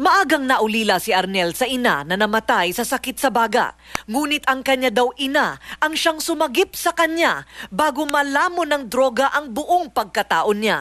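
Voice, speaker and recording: A woman with a high pitch and a bright, sharp tone speaks at a moderate pace with lively intonation and very even loudness. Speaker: TV news correspondent. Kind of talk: TV news report narration.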